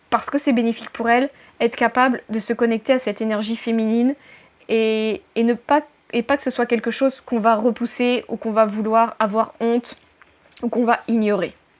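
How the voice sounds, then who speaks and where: Her intonation monotone and flat, a woman talks at a fairly high pitch. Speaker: life coach. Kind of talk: talking-head tutorial video. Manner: loud, fast; choppy.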